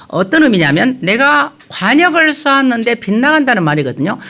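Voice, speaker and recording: Audible room echo surrounds a woman speaking at a moderate pace, her high voice swinging very widely in pitch. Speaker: pastor. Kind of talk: sermon. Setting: church. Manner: hesitant, many filler sounds.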